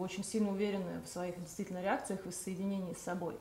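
A woman's voice with light background noise and audible room echo. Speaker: event organizer hosting livestream; host of a psychology talk. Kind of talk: livestream introduction and announcements. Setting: online live broadcast. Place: home room.

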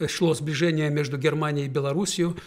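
Against a quiet background, a man speaks in a fairly high pitch. His intonation is fairly even and his pace moderate. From Belarus. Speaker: educational center director; guest. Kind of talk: studio interview. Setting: radio studio. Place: studio. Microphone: studio mic.

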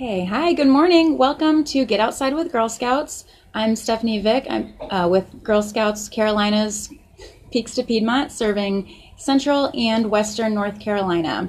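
A somewhat breathy voice at a moderate pace. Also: woman. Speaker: presenter. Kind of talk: live craft tutorial. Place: garden. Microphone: phone near.

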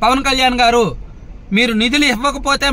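The voice is raised and projected, with an animated tone and a dry sound that carries no echo. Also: man. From Srikakulam, north coastal Andhra Pradesh; Andhra Pradesh. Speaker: political journalist and commentator; political commentator. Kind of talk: political commentary monologue; political commentary vlog. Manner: animated, rhetorical questioning. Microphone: phone near.

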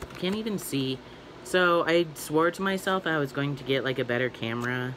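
With ordinary pitch variation and a moderate pace, a man talks as noticeable background noise continues. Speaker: toy unboxing vlogger. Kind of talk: casual vlog chat. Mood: cheerful, chatty. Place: home room. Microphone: phone near.

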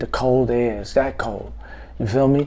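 The voice has a dark, mellow tone and moves at a moderate pace. The background is quiet. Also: man. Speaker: vlogger telling a story. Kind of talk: casual vlog chat. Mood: reflective, wry. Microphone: phone near.

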